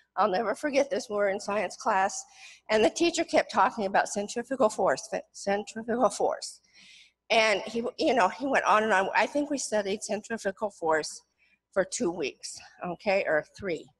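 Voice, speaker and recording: A woman has an unremarkable speaking voice, fairly high in pitch. She talks at a moderate pace against a quiet background. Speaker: retired professor, author; retired professor. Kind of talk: academic presentation. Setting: stage with audience. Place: hall.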